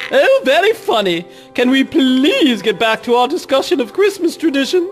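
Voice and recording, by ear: A put-on character voice speaks at a moderate pace over clear music in the background.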